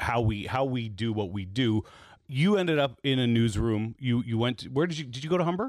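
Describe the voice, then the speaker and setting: An ordinary speaking voice, a man with a Canadian accent, fairly quick and with lively intonation, on a very clean recording with a silent background. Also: medium pitch for a man. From East Toronto, Canada. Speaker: podcast host, former radio program director. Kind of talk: casual interview chat. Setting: home basement studio.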